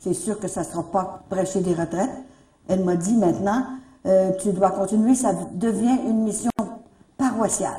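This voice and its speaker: A woman speaks at a moderate pace with a dark, mellow, somewhat breathy tone and ordinary pitch variation. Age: 70s. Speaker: religious retreat leader. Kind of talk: religious talk to a gathering.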